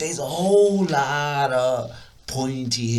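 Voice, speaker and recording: An animated man's voice amid audible room echo and noticeable background noise. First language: not English. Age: adult. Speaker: music producer. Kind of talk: personal storytelling. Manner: halting, repetitive stammers; casual, animated.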